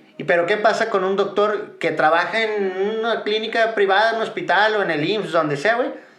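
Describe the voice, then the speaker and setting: Over noticeable background noise and audible room echo, a man speaks at a moderate pace with a high pitch. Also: ordinary pitch variation, hardly any pauses. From Mexico, Guadalajara. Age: 40s. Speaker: business owner. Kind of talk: casual chat.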